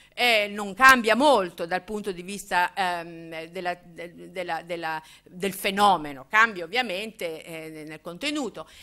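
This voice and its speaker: Over a quiet background, the voice moves at a very slow pace with a bright, sharp tone. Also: woman, ordinary pitch variation, big swings in loudness. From Emilia-Romagna, Italy. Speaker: political theory professor. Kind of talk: public lecture. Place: hall. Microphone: podium.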